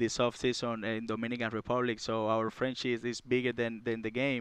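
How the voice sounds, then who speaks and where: A man with a Cuban accent, medium pitch, flat monotone intonation and a moderate pace. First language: Spanish. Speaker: baseball catcher. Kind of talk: casual interview. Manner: halting, filler-heavy.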